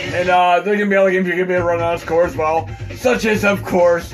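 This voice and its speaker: A loud, energetic man's voice at a high pitch, with ordinary pitch variation and music in the background. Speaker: retro gaming modder. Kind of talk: casual gameplay commentary. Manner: fast, loud, energetic.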